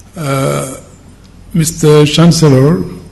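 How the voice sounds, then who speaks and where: With audible room echo and noticeable background noise, a man talks very slowly in a fairly high pitch with ordinary pitch variation. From Senegal. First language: French. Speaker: politician. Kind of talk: conference speech.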